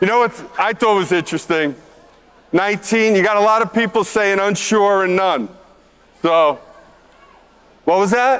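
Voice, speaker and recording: Speaking at a moderate pace with long, frequent pauses, a man with a New York accent has a high pitch and very even loudness. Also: ordinary pitch variation. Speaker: conference co-host, board member. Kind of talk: stage presentation. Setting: stage with audience.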